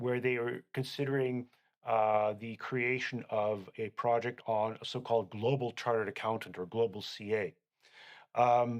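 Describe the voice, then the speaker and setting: At a fairly slow pace, a man of medium pitch speaks with a Canadian accent and fairly even intonation. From Canada. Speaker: accountant. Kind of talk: interview. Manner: halting.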